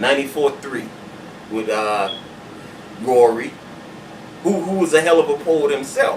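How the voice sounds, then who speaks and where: A man's fairly high voice at a moderate pace, with big swings in loudness, ordinary pitch variation, long and frequent pauses, and noticeable background noise. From Charleston, South Carolina. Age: old. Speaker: spoken word poet. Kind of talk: interview answer. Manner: casual, hesitant.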